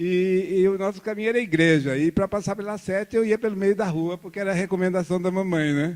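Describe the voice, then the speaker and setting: A very clean recording with a silent background of a man at a fairly quick pace. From Brazil, Campo Grande, Mato Grosso do Sul. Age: 70s. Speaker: visual artist. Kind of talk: lecture. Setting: art studio with live audience. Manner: conversational, storytelling.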